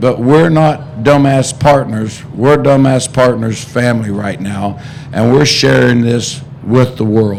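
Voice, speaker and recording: A man at a very slow pace with ordinary pitch variation, audible room echo and noticeable background noise. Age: 60s. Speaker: racehorse co-owner. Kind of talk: press conference.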